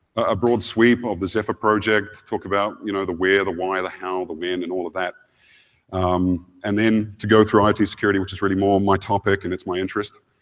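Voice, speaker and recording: Speaking with a New Zealand accent, a man talks at a fairly quick pace in a fairly low, monotone voice with flat intonation. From New Zealand, Wellington. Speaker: security engineering lead, conference speaker. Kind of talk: conference keynote. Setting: stage with audience. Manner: frequent fillers and hesitations.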